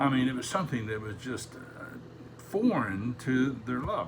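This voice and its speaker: Amid noticeable background noise and audible room echo, a man speaks at a moderate pace with a medium pitch. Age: 70s. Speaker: Sunday school teacher. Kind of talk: Bible lesson.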